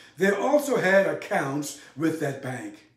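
Room echo can be heard. Within it, a man talks at a fairly slow tempo. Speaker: presenter. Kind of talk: history narration to camera. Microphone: lapel.

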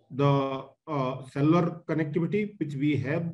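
At a fairly slow pace, a man talks with fairly even intonation. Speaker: speaker. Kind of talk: webinar talk. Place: home room. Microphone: video call.

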